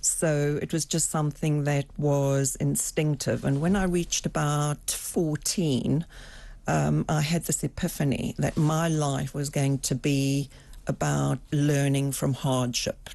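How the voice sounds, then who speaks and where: Speaking at a very slow pace with a slight South African accent, a woman with a very deep, low pitch and a dark, mellow tone keeps a fairly even intonation and very even loudness over a quiet background. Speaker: executive coach and former psychotherapist. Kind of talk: interview.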